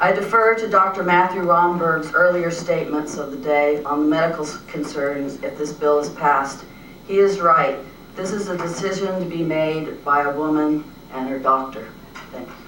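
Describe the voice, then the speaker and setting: A woman with a very deep, low voice speaks at a moderate pace with big swings in loudness, amid noticeable background noise and audible room echo. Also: ordinary pitch variation. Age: 60s. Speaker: retired art teacher giving public testimony. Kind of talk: prepared testimony at a legislative hearing. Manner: formal.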